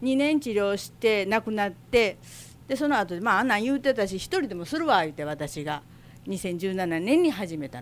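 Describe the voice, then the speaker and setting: Her loudness swings widely and her pitch swings very widely around a medium level as a woman speaks at a moderate pace. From Osaka, Minato ward. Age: 60s. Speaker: shop owner. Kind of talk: interview. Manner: casual.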